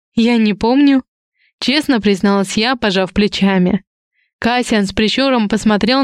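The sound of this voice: An unforced reading voice, its pitch moving in an ordinary way, sits over a quiet background.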